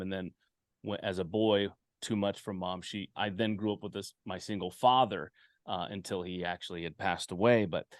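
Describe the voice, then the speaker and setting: A man with an American accent talks at a fairly quick pace, fairly low-pitched with fairly even intonation, in a dry, close sound with no echo over a quiet background. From western US. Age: 40s. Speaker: podcast host. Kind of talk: casual chat. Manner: halting.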